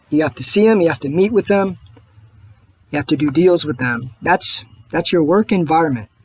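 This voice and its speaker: A soft-spoken, somewhat breathy man with a fairly high pitch and lively intonation, in a dry, close sound with no echo. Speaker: political video blogger. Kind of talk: personal video monologue.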